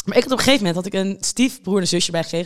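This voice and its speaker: A woman talks in a fairly low-pitched voice. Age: 20s. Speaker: podcast host. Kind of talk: casual chat.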